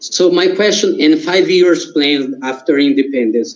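With a Portuguese accent, a man speaks at fairly high pitch with ordinary pitch variation. His tone is dark and mellow. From Brazil. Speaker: audience member. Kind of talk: Q&A question. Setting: video call. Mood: polite, thoughtful. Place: home room. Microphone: video call.

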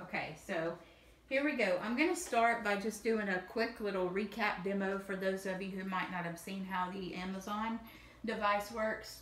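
A woman with a Southern US accent, fairly even intonation and long, frequent pauses, plus audible room echo. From US South. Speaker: video creator. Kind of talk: demo video. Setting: home, recorded video. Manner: casual, friendly. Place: home room. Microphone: camera far.

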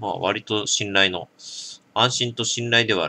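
A bright, sharp tone marks this man's speech. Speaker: drinking vlogger. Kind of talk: casual product review chat. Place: home room. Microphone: camera far.

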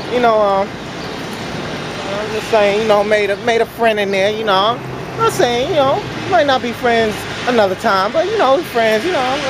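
Clear background noise sits under lively intonation delivered at a moderate pace. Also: man.

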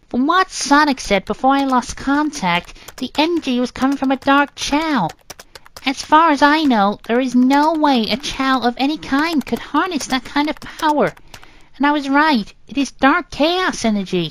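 A female-sounding, put-on character voice is pitched high for a woman. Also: moderate pace. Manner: brisk, analytical.

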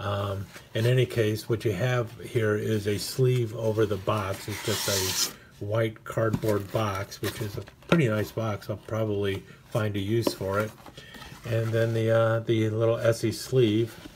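There is noticeable background noise as a man speaks fairly slowly in a fairly low, monotone, flat voice. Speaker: knife hobbyist reviewer. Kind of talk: casual unboxing commentary.

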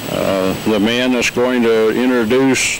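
A man speaks at a fairly slow pace in a monotone, flat intonation, with a dry sound lacking any echo and light background noise. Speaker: narrator of company documentary. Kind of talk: scripted documentary narration. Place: open country. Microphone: handheld.

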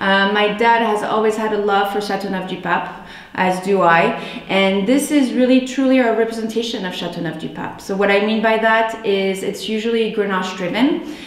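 A woman's medium-pitched voice at a moderate pace, with ordinary pitch variation and audible room echo. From France, moved to California as a child. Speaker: winery representative. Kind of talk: promotional presentation. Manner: hesitant, many fillers.

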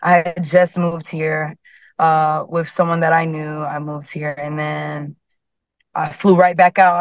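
Against a quiet background, a woman with an American accent speaks in a plain, everyday voice at a moderate pace and fairly low pitch, the sound dry with no echo. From Harlem, New York; New York. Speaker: singer; guest. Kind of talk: casual chat; interview answer. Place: car. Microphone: video call.

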